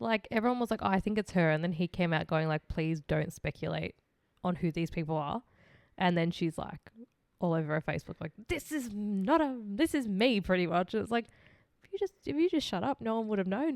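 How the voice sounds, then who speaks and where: A woman with an Australian accent speaks at a fairly quick pace and a medium pitch, her intonation lively, in a very clean recording with a silent background and a dry, close sound with no echo. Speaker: true crime podcast co-host. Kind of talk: casual chat.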